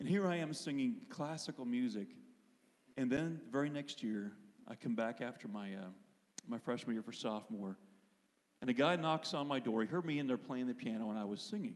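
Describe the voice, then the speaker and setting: Speaking with an American accent, a man at medium pitch moves at a fairly quick pace with lively intonation and long, frequent pauses. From Pennsylvania, US. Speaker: worship leader and singer. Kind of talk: testimony in church service.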